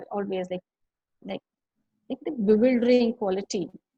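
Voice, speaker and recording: A woman's fairly high-pitched voice. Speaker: artist. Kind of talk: interview. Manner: halting.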